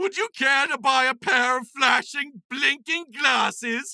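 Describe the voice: In a put-on character voice, a man talks slowly at an extremely high pitch, bright and sharp, with vocal fry and ordinary pitch variation.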